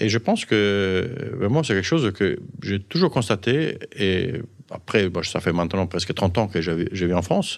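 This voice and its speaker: A man's fairly low voice with lively intonation at a fairly slow pace. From Sardinia, Italy. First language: Italian (speaking French). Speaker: physician and pharmaceutical executive. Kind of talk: interview storytelling. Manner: halting.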